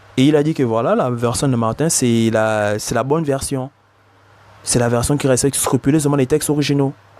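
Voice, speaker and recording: A man speaks at a moderate pace in a medium pitch, with a dark, mellow tone and ordinary pitch variation. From Africa. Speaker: bible teacher. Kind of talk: religious commentary. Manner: hesitant, repetitive.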